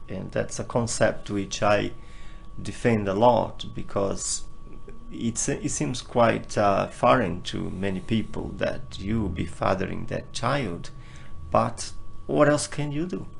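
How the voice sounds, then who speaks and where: Amid audible room echo, a man with a Portuguese accent speaks at a very slow pace. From northeast Brazil. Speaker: interview guest sharing personal healing journey. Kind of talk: personal testimony in interview.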